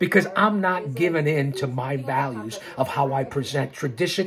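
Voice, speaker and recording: A man at a moderate pace, his pitch swinging very widely, against noticeable background noise. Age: 60s. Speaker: wrestling commentator and YouTuber. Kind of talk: live stream monologue. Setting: live stream. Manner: animated; repetitive, halting.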